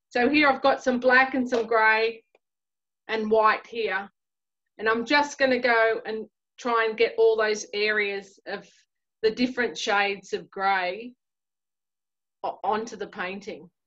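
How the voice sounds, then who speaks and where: At a fairly slow pace, a woman with an Australian accent speaks at a fairly high pitch in a bright, sharp tone, taking long, frequent pauses against a quiet background. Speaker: artist teaching a painting class; art teacher. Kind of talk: tutorial. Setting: video call. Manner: animated. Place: home room. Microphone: video call.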